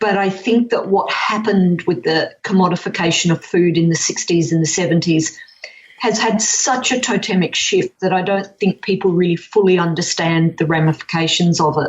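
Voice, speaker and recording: In an Australian accent, a woman speaks at a moderate pace with a medium pitch, ordinary pitch variation and very even loudness, against noticeable background noise. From Western Australia, Perth. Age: 60s. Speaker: whole food educator. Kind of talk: podcast interview.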